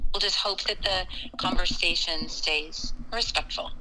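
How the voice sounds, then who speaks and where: A woman speaks at a moderate pace with ordinary pitch variation against noticeable background noise. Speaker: caller. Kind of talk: casual chat.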